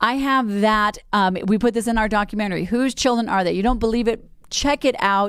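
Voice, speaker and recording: In a plain, everyday voice with an American accent, a woman talks at a fairly quick pace, pitched fairly high with fairly even intonation. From Colorado, US. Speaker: radio talk show host. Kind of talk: talk radio monologue.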